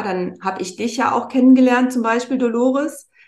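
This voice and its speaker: Using an ordinary speaking voice, a woman speaks at a fairly high pitch and a fairly quick pace. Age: 50s. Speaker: wellbeing mentor, former model. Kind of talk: casual chat.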